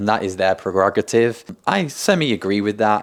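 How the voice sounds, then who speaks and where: Speaking at a fairly quick pace with a British accent, a man with a fairly low pitch comes through on a very clean recording with a silent background. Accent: British-sounding. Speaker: content creator. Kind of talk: vlog storytelling.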